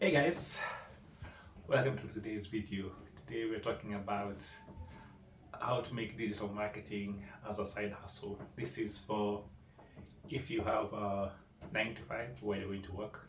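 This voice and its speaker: Audible room echo surrounds a man with a fairly low pitch. He keeps a moderate pace, broken by long, frequent pauses. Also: ordinary pitch variation. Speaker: digital marketing consultant. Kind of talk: tutorial. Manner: animated.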